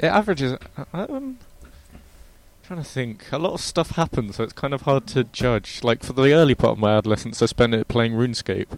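A man speaks at a fairly quick pace with a plain, everyday voice and medium pitch. His intonation is lively, and the sound is dry and close with no echo. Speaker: podcast co-host. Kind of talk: casual chat.

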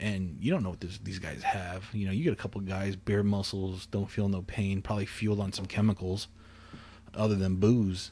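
Somewhat breathy, a man speaks at a moderate pace in a dark, mellow tone with monotone, flat intonation. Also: fairly low pitch for a man. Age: 20s. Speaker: podcast host. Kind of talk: casual chat. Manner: calm.

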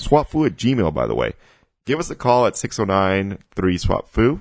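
Vocal fry marks a man's voice as he speaks at a moderate pace. His pitch swings very widely against a quiet background. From Mexico. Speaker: podcast co-host. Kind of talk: casual chat.

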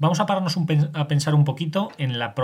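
Somewhat breathy, a man talks at a fairly quick pace with ordinary pitch variation on a very clean recording with a silent background. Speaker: solo podcast host on mythology and history. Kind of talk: solo educational podcast monologue. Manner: hesitant, many fillers and restarts.

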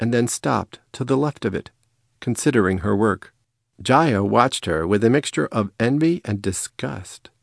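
This is plain reading aloud, heard with a quiet background.

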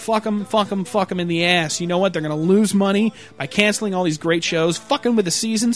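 A man speaks at a fairly quick pace with hardly any pauses, his pitch high and its variation ordinary, over noticeable background noise. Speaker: podcast host. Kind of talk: casual chat. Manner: animated.

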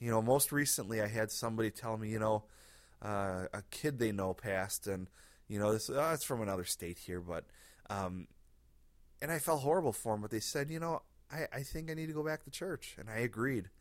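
In a normal speaking voice, a man talks at a fairly quick pace with medium pitch and lively intonation on a very clean recording with a silent background. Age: 30s. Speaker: pastor and podcast host. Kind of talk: casual solo podcast monologue. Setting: home living room. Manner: relaxed, conversational.

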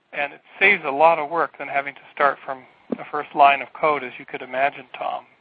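This man has a normal speaking voice, fairly high in pitch, with fairly even intonation and big swings in loudness. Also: fairly quick pace. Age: 40s. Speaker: researcher and PhD student. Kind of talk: casual chat.

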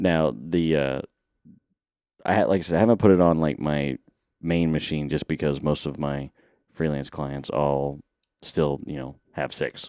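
A man's very deep, low voice with a dark, mellow tone, a fairly slow pace, long, frequent pauses, ordinary pitch variation and a dry, close sound with no echo. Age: 30s. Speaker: podcast co-host. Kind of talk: casual chat. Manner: laughs often.

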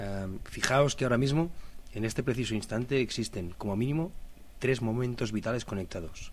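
A man with a mid-range pitch talks at an average speed, his pitch moving in a normal way. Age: 30s. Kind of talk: personal reflective monologue.

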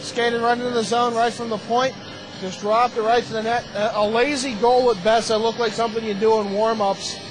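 Over noticeable background noise, a man talks at a fairly quick pace in an animated tone with an extremely high pitch. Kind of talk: live hockey play-by-play commentary. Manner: rapid-fire, animated play-by-play, joking with co-commentator.

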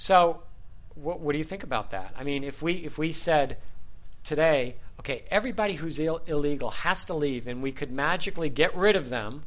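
This is an ordinary speaking voice with an American accent. It moves at a moderate pace. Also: man. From USA. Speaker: podcast host, English teacher. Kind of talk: group discussion moderation for English learners. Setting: studio with group sharing microphones.

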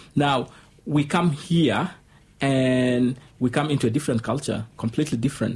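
A man at a moderate pace with fairly even intonation, amid noticeable background noise. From Sudan. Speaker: refugee community member. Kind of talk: radio interview. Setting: studio.

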